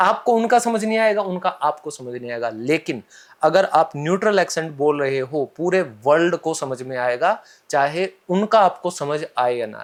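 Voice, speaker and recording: With lively intonation and an animated tone, a man speaks at a fairly high pitch in a very clean recording with a silent background. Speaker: English trainer. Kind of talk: podcast interview.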